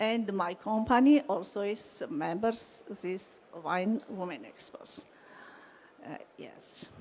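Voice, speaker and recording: A woman with a Georgian accent speaks at a very slow pace and medium pitch. Her intonation is lively, with big swings in loudness. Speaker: wine company owner. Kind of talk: conference presentation. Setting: conference hall. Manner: halting.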